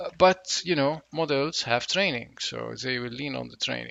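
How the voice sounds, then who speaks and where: A man speaks with a non-native accent at a moderate pace. His pitch varies in an ordinary way. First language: not English. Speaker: tech educator, reverse engineering. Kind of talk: tutorial. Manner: casual, with frequent fillers.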